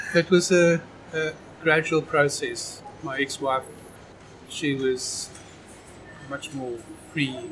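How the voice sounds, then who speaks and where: Over noticeable background noise, a man with a South African accent speaks at a very slow pace, with long, frequent pauses. His pitch is fairly high, and his intonation fairly even. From South Africa, Knysna. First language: Afrikaans. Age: 50s. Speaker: amateur documentary photographer. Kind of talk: casual chat.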